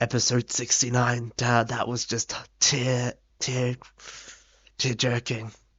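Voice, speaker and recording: Noticeable background noise sits behind a man at a medium pitch. He speaks very slowly in a monotone, flat intonation, with long, frequent pauses. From Australia. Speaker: gaming youtuber. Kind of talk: video essay narration.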